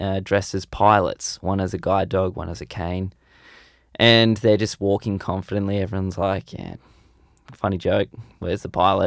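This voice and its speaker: A man talks in a fairly low pitch with monotone, flat intonation at a moderate pace. The recording is very clean, with a silent background. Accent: Australian. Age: 20s. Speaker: podcast co-host. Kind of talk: casual chat; joke telling.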